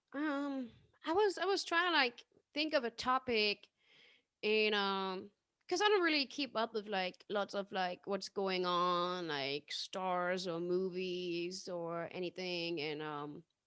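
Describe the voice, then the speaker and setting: A woman speaks at a very slow pace in a medium pitch, with lively intonation and a bright, sharp tone, in a dry, close sound with no echo on a very clean recording with a silent background. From Germany. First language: German. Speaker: comedian. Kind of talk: casual interview chat.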